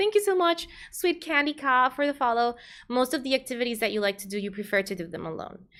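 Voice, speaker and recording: A fairly quick, bright, sharp delivery with a Spanish accent. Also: woman. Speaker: vtuber streamer and psychologist. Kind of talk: casual livestream chat and advice.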